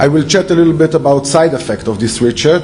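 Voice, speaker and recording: A man with an Israeli accent and ordinary pitch variation, with audible room echo and noticeable background noise. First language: Hebrew. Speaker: security researcher. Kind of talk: conference talk. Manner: halting, many fillers.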